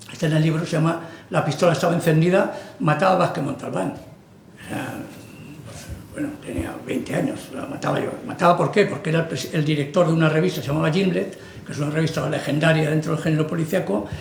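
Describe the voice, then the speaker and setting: A man's fairly high voice at a very fast pace, with ordinary pitch variation, audible room echo and noticeable background noise. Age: 60s. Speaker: writer. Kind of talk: book presentation talk. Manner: halting, conversational.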